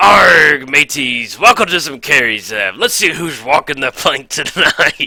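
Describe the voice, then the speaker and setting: A man's put-on character voice at a medium pitch, with a fairly slow pace and hardly any pauses. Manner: playful.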